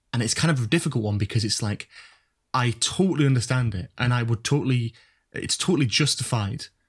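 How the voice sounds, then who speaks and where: Somewhat breathy and at a medium pitch, a man talks very fast with ordinary pitch variation. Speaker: YouTuber, university student. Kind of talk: casual chat. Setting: online call.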